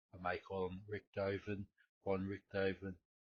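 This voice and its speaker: A man's very deep, low voice in an Australian accent, somewhat breathy, at a fairly slow pace. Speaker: history podcast host. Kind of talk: unscripted solo podcast talk. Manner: halting, many fillers and repetitions.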